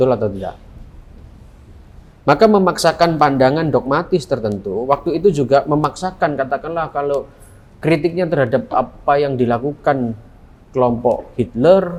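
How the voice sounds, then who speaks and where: A man speaks with a Surabaya accent and lively intonation. He keeps a moderate pace. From Indonesia, Surabaya (East Java). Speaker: philosophy lecturer. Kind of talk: lecture. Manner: conversational, interactive with students.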